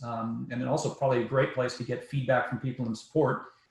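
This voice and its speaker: At a fairly quick pace, a man with a medium pitch talks in a somewhat breathy, flat monotone. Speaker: podcast host. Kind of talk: podcast interview. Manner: fast.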